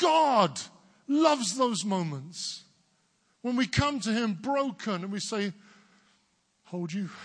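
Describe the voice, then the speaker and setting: Against a quiet background, a man with an English accent speaks at a very slow pace in a high pitch, swinging very widely and leaving long, frequent pauses. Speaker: preacher. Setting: church service. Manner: emphatic, rhythmic sermon delivery.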